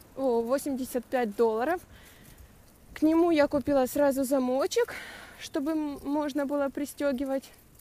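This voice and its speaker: A woman's high voice at a fairly slow pace, fairly even in intonation, dry with no echo. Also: long, frequent pauses. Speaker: cyclist vlogger. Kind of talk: casual vlog chat. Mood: cheerful, chatty. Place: bicycle. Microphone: phone near.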